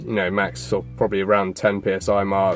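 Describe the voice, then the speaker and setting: Music plays in the background as a man with a fairly low voice speaks at a fairly quick pace. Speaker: car enthusiast. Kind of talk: casual talk to camera.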